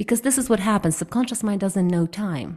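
A woman's medium-pitched, somewhat breathy voice with a dark, mellow tone on a very clean recording with a silent background. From Ukraine. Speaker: hypnotherapist. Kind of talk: interview.

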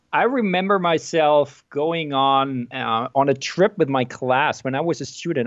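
A man with a German accent and a fairly high pitch. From Germany. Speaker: neuroscientist and author. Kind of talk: interview. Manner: hesitant, many fillers and repeats.

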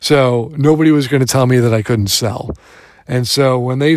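An unremarkable speaking voice from a man with an American accent, medium pitch, fairly even intonation and a moderate pace. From Michigan, Detroit. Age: 40s. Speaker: podcaster. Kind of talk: informal voice log. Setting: gym, on the road.

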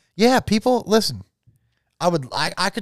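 A man with an American accent is heard in a very clean recording with a silent background and a dry, close sound with no echo. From US South, Florida (Jacksonville). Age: 30s. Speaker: metal podcast co-host. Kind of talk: casual chat. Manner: animated.

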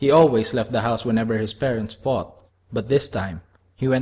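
Reading in an unforced voice

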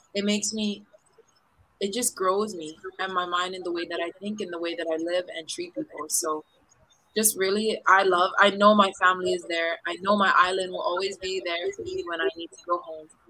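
Using a Hawaiian accent, a woman speaks at a moderate pace and medium pitch with fairly even intonation. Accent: Hawaiian American English. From Hawaii, east side of Oahu. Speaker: professional volleyball player. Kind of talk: interview. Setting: remote podcast from quarantine hotel room.

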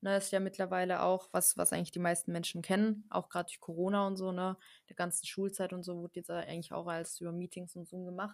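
A woman talks at a very fast pace in a flat monotone, her pitch medium and her loudness swinging widely. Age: 20s. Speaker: network marketer, former care worker. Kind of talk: casual podcast interview.

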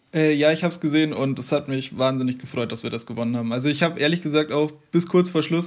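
A man with an unremarkable speaking voice talks at a fairly quick pace. His pitch is fairly high and his intonation fairly even. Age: 20s. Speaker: basketball fan podcast guest. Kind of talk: casual chat.

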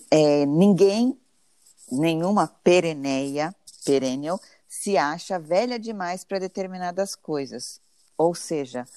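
Very deep and low in pitch, a woman speaks at a fairly slow pace with ordinary pitch variation, on a very clean recording with a silent background and a dry, close sound with no echo. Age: 40s. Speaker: podcast co-host, journalist. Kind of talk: casual chat; scripted intro.

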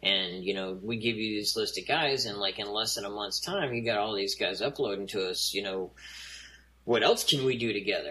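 A man talks at a moderate pace with a medium pitch and ordinary pitch variation. There is noticeable background noise. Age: 40s. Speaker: drone industry marketing representative. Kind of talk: casual interview chat. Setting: remote call.

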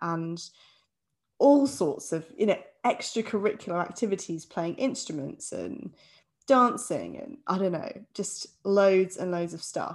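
In an ordinary speaking voice, a woman talks at a medium pitch and a fairly slow pace over a quiet background. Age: 30s. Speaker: podcast co-host. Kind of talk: casual chat.

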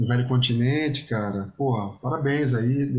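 A man talks at a fairly slow pace in a medium pitch, sounding somewhat breathy. His pitch moves in an ordinary way, and the room gives an audible echo. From Brazil, Espírito Santo (Vitória). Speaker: podcast host, musician. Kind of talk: casual interview chat. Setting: remote call Brazil-Portugal.

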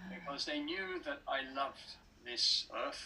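A man speaks with an English accent. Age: 70s. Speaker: writer and speaker. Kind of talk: interview. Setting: video call.

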